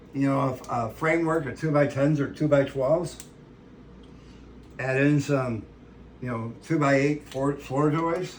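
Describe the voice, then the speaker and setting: With audible room echo, a man at a fairly high pitch speaks at a fairly slow pace with fairly even intonation and long, frequent pauses. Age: 60s. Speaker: ranch channel host, home cook. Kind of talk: casual cooking tutorial with rambling chat. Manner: casual, conversational with fillers.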